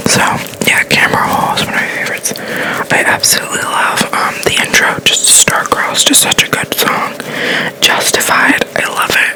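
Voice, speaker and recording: Someone whispers at a moderate pace with noticeable background noise behind them. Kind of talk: ASMR get-ready-with-me makeup talk to camera. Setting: distant from the mic. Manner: whispered, soft.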